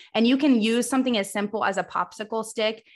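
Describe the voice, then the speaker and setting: Talking fairly quickly, a woman with an unremarkable speaking voice shows ordinary pitch variation. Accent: American. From US Midwest, Missouri. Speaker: audiologist. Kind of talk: interview.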